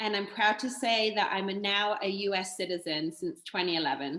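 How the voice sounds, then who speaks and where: With a British accent, a woman speaks at a moderate pace and medium pitch. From United Kingdom. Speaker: realtor. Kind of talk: interview.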